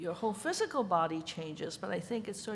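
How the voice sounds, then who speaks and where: A woman with a Chinese accent, medium pitch, very fast pace, and audible room echo. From Hong Kong. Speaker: ceramic artist. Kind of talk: conference panel talk. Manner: hesitant, with many fillers.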